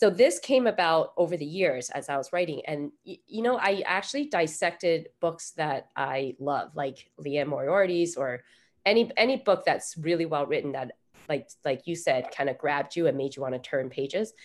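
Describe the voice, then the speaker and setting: A woman with a plain, everyday voice, fairly low in pitch, at a moderate pace with lively intonation, on a very clean recording with a silent background. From Taiwan-born, grew up in the US. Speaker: author. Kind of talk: interview.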